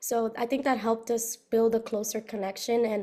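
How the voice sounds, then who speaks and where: A woman's dark, mellow tone with an American accent at a fairly quick pace. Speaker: recent university graduate. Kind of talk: interview. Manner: fast.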